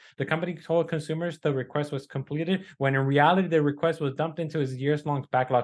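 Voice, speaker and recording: Speaking very fast with hardly any pauses, a man with a non-native accent keeps a fairly high pitch and fairly even intonation. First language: not English. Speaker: podcast co-host, credit repair business owner. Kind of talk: casual news discussion, reading articles aloud. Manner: halting, with fillers and self-corrections.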